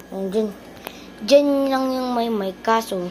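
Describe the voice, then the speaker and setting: Her pitch varies in an ordinary way as a woman delivers her words at a fairly slow pace. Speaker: gaming streamer. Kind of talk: gameplay commentary. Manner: soft-spoken. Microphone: no external mic, quiet audio.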